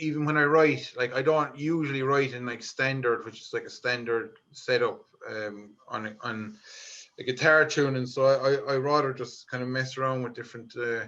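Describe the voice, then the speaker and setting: In a Limerick accent, a man speaks at a moderate pace and medium pitch. His tone is bright and sharp. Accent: Irish, Limerick. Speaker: folk musician. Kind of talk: interview. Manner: hesitant, many fillers.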